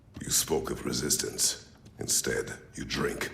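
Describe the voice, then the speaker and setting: Using a put-on character voice, a man speaks at a fairly slow pace with clear background noise. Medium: machinima. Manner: terse, grave.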